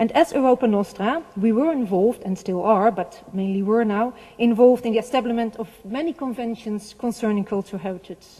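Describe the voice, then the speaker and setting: In a Dutch accent, a woman talks at a fairly high pitch. She moves at a fairly quick pace with hardly any pauses. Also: ordinary pitch variation. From Netherlands. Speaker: heritage organization representative. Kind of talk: conference speech. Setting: seminar with audience. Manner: halting.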